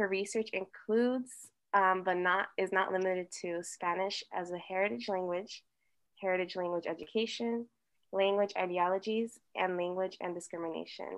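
A woman with an American accent speaks at a moderate pace and medium pitch in an unremarkable speaking voice. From US, Colombian parents. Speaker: podcast co-host.

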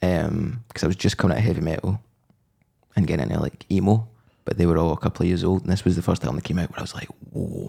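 Very fast and very deep, a man's voice has a dark, mellow tone with vocal fry. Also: ordinary pitch variation. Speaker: podcast host. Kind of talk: casual chat.

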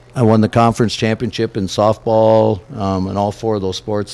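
Over noticeable background noise, a man speaks with a fairly low pitch in a monotone, flat intonation. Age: 60s. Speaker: high school basketball coach. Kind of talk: interview. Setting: live remote broadcast from a cafe.

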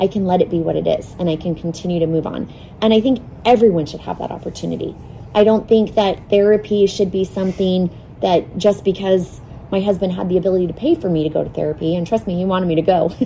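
A woman with an American accent at a medium pitch and very fast pace, over noticeable background noise. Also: ordinary pitch variation. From Arizona, North Phoenix. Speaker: charity volunteer and mother. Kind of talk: casual interview.

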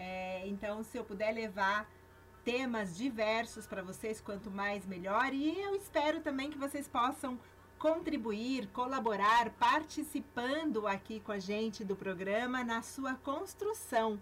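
With lively intonation, a woman speaks fairly slowly in a fairly high voice. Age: 50s. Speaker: radio host. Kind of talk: radio talk on self-knowledge.

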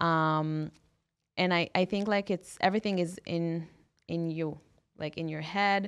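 A woman with an Israeli accent talks at a fairly slow pace, her pitch fairly low and her intonation fairly even. She leaves long, frequent pauses against a quiet background. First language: Hebrew. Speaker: women-only gym owner. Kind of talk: interview.

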